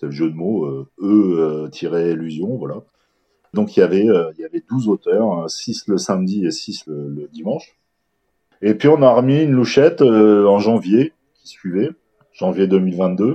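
His voice is fairly low-pitched and dark and mellow, with very wide pitch swings and big swings in loudness. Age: 40s. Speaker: horror book reviewer and festival organizer. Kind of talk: interview. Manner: halting.

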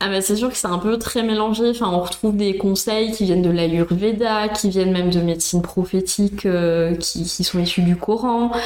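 Over noticeable background noise, a woman speaks at a moderate pace with very even loudness and fairly even intonation. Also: medium pitch for a woman, hardly any pauses. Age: 30s. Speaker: instagram content creator. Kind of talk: interview.

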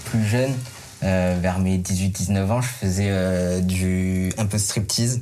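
Through noticeable background noise, a man speaks with a fairly low pitch and fairly even intonation. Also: very even loudness. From southern France. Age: 30s. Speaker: single on a dating show. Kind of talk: casual chat. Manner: hesitant.

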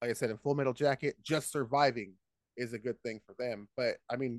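In a plain, everyday voice, a man talks at a fairly quick pace with fairly even intonation, and the sound is dry and close with no echo. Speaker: comedian. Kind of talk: casual chat.

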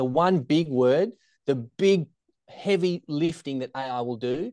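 A man with an Australian accent talks with ordinary pitch variation, his voice dry and close with no echo against a quiet background. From Australia, Tasmania (Hobart). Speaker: secondary teacher and startup founder. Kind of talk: interview conversation.

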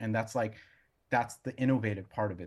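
Talking at a very fast pace, a man with an American accent sounds somewhat breathy, fairly low in pitch, with fairly even intonation. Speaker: brewer and brewery owner. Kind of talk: casual interview. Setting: video call.

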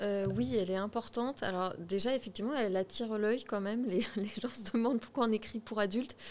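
Using an unremarkable speaking voice, a woman with a fairly high pitch and ordinary pitch variation talks at a fairly quick pace with hardly any pauses. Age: 30s. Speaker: shop co-manager. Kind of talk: casual interview.

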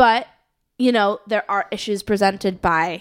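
A normal speaking voice from a woman with an American accent, medium in pitch, at a moderate pace with fairly even intonation, on a very clean recording with a silent background. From US Midwest, Chicago suburbs (Skokie, Illinois). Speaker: musician and internet music organizer. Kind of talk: casual chat.

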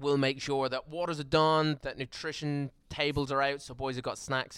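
Talking with hardly any pauses, a man with an Irish accent has a fairly high pitch in a very clean recording with a silent background. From Ireland. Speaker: strength and conditioning coach. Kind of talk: casual interview.

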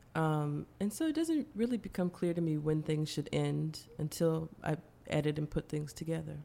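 A woman with an American accent talks at a moderate pace and a very even loudness. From US Midwest, suburbs of Cleveland, Ohio. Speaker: artist and musician. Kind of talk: interview conversation. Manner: halting, many fillers and repeated words.

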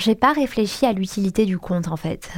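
The recording is very clean, with a silent background. It carries a plain, everyday voice at a moderate pace. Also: woman. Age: 20s. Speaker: Instagram account founder. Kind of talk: interview testimony.

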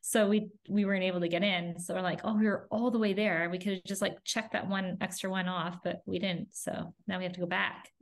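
In a Canadian accent, a woman talks at a fairly quick pace with hardly any pauses and monotone, flat intonation. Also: medium pitch for a woman. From Canada. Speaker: family travel content creator. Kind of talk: interview conversation.

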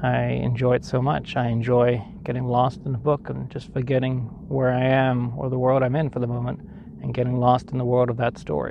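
A man speaks at a fairly quick pace with medium pitch and fairly even intonation. Noticeable background noise is present. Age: 40s. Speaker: podcast host, writer. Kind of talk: solo talk on a hike. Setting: outdoors.

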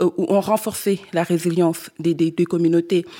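A woman with a Senegalese accent has a dark, mellow tone. The recording is very clean, with a silent background. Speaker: climate activist. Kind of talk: panel discussion. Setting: stage with audience.

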